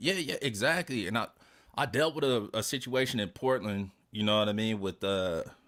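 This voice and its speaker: At a moderate pace, a man with a fairly low pitch uses lively intonation in a very clean recording with a silent background. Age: 40s. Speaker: streamer. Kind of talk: casual chat. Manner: animated.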